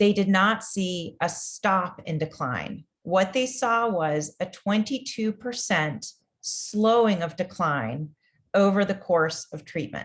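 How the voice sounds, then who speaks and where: Against a quiet background, a woman speaks very slowly and somewhat breathily, with lively intonation. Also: medium pitch for a woman. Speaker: research funding executive. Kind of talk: interview explanation.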